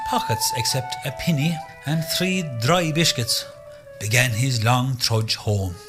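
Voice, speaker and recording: Music plays in the background as a man speaks. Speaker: narrator. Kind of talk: folk tale storytelling for radio.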